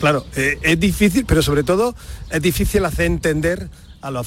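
His voice is somewhat breathy. The man keeps a moderate pace. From Almería, Andalusia, Spain. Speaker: motorsport event organizer. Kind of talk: radio interview.

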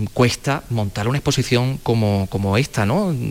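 Here is a man at medium pitch, in a normal speaking voice. His pitch variation is ordinary. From Andalusia (La Carolina, Jaén). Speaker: radio host. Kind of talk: on-location radio interview. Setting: exhibition hall.

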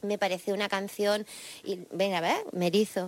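Here a woman talks. She keeps a moderate pace. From Jaén, Andalusia, Spain. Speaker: rock singer-songwriter. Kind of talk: interview answers.

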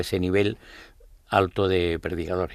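Delivered at a moderate pace in a monotone with flat intonation, the speech comes from a very clean recording with a silent background. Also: man. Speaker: brotherhood leader and election candidate. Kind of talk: radio interview. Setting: radio studio. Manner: halting.

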